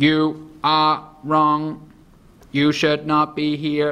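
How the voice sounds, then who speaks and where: A man uses a put-on character voice at a fairly high pitch. He speaks at a very slow pace with monotone, flat intonation. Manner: cold, warning.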